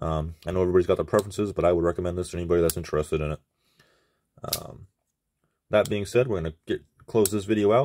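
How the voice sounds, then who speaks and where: On a very clean recording with a silent background, a man speaks at a very fast pace with long, frequent pauses, a very deep, low pitch, ordinary pitch variation and a dark, mellow tone. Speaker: knife reviewer. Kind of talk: product review. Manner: casual.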